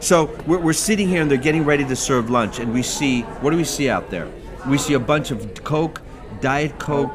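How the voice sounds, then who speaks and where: Noticeable background noise and audible room echo surround the recording. A man talks at a moderate pace in a fairly high pitch. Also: ordinary pitch variation. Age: 60s. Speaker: physician. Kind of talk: interview. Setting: medical conference. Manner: animated.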